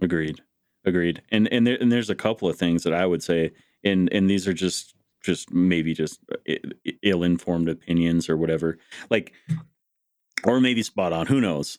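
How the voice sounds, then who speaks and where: A man with an American accent and a very deep, low voice speaks at a moderate pace with ordinary pitch variation, very even loudness and long, frequent pauses, on a very clean recording with a silent background and a dry, close sound with no echo. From US Upper Midwest, North Dakota. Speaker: podcast host. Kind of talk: casual interview conversation.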